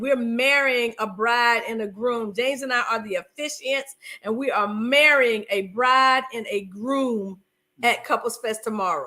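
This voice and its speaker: The voice carries a Southern US accent and an animated tone. Its tone is bright and sharp. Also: woman. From US South, North Carolina (Fayetteville). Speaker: podcast host, marriage coach. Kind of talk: casual chat.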